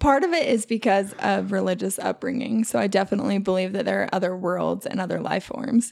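A woman talks at a fairly quick pace in a medium pitch with ordinary pitch variation. It is a normal speaking voice. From Utah (born in Alaska). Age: 30s. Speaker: coworker guest. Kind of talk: casual chat.

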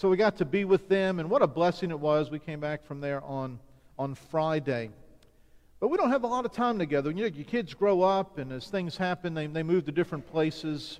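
A man's fairly high-pitched, unremarkable speaking voice with an American accent at a fairly quick pace. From US South, Chalmette near New Orleans, Louisiana. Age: 50s. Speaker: visiting pastor and church mission strategist. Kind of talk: sermon. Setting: church service.

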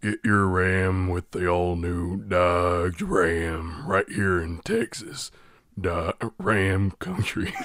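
A man's put-on character voice, raspy and very deep, low in pitch, with monotone, flat intonation at a very slow pace. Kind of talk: commercial announcer.

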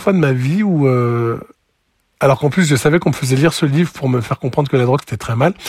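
This man talks at a fairly quick pace. His medium-pitched voice is somewhat breathy. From France, Lozère. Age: 40s. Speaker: former raver. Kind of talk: testimony. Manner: halting.

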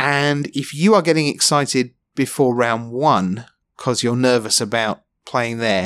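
Speaking fairly slowly in a London accent, a man keeps a medium pitch with ordinary pitch variation. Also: very clean recording, silent background. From London, England. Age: 40s. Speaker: esports commentator. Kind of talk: casual interview. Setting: hotel room.

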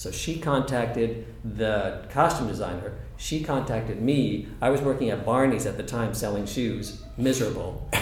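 A man with an American accent at a moderate pace, hardly any pauses, noticeable background noise and audible room echo. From Southern California. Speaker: theater dresser. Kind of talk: casual chat.

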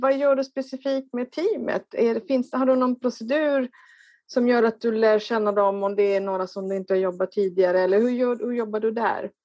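A woman's fairly high voice with ordinary pitch variation, at a moderate pace, in dry, close sound with no echo. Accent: Italian. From Italy. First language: Italian (speaking Swedish). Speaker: workshop participant. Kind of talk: audience question.

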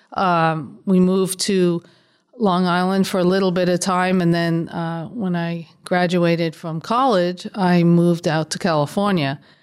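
With fairly even intonation, an unremarkable speaking voice proceeds at a fairly slow pace. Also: woman, fairly low pitch for a woman. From New York, South Bronx. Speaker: state legislator. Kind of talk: interview.

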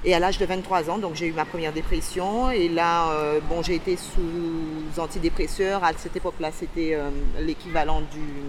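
Noticeable background noise sits behind a woman with a fairly low pitch. She speaks at a fairly slow pace with fairly even intonation. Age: 40s. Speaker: person with bipolar disorder sharing experience. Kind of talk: testimony. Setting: outdoors on a beach. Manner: halting.

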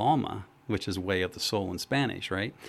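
A man's fairly low-pitched, normal speaking voice at a fairly quick pace. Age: 60s. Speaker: trauma psychologist and wisdom teacher. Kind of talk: radio interview. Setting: radio studio.

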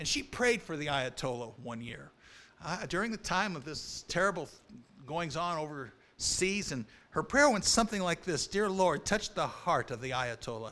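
On a very clean recording with a silent background, a man speaks at a moderate pace. His high-pitched voice has a bright, sharp tone and very wide pitch swings. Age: 50s. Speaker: preacher. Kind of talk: sermon.

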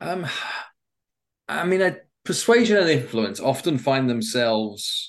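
Over a quiet background, a man with an English accent talks at a moderate pace, his pitch swinging very widely. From England. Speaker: persuasion expert and author. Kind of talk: interview conversation.

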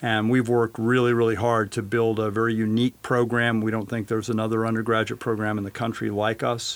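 Flat and monotone, a man with an American accent speaks at a medium pitch. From western Colorado. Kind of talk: interview.

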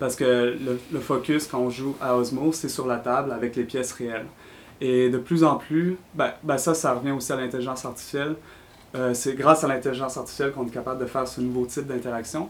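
A man with a Quebec accent speaks at a fairly quick pace in a medium pitch, his intonation monotone and flat. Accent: Québécois French. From Quebec City. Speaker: designer. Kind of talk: interview.

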